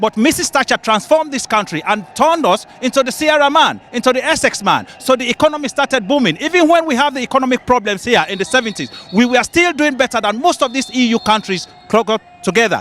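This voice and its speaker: The delivery has lively intonation at a fairly quick pace, recorded dry and close with no echo over noticeable background noise. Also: man. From Britain. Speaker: pro-Brexit demonstrator. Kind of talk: street interview. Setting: outdoors at a demonstration. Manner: emphatic.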